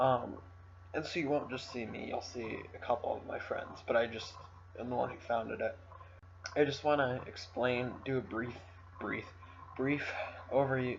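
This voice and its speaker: Speaking with an American accent at a moderate pace, a man uses a medium pitch and ordinary pitch variation, with big swings in loudness. Long, frequent pauses break up his speech, and audible room echo surrounds it. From United States. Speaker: channel founder, F1 talk show host. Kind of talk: casual channel introduction monologue. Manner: hesitant, many fillers.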